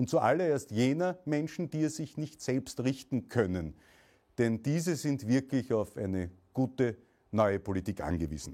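A man's medium-pitched voice with a dark, mellow tone, a fairly slow pace and very wide pitch swings, on a very clean recording with a silent background. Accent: Austrian. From Austria. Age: 40s. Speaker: political activist and entrepreneur. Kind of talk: political speech. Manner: formal.

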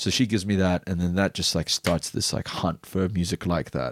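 In an Arabic accent, a man speaks at a fairly quick pace with a very deep, low pitch. The recording is very clean, with a silent background and a dry, close sound with no echo. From Bahrain. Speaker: DJ and music producer. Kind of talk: casual chat. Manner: fast talker.

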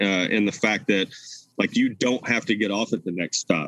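A man talks with an American accent in a fairly low pitch. His pace is moderate. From US South, Nashville, Tennessee. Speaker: brewery tour founder. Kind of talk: casual interview chat. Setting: video call.

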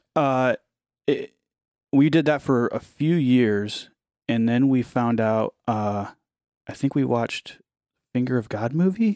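Someone with an American accent speaks at a very slow pace with long, frequent pauses and ordinary pitch variation, in a dry, close sound with no echo. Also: man. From US Midwest, Ohio. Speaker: ministry founder. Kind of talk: faith testimony in casual conversation.

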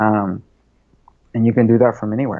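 With an American accent and vocal fry, the speaker talks at a moderate pace with fairly even intonation. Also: man, fairly low pitch for a man.

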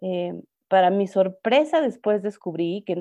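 The tone is dark and mellow, with ordinary pitch variation. The pace is fairly slow over a quiet background. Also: woman. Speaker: clown performer. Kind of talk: interview conversation.

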